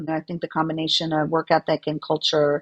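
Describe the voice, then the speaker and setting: A woman with a very deep, low pitch talks over a quiet background. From United States, daughter of Latin American immigrants. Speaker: corporate lawyer and author. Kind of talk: podcast interview.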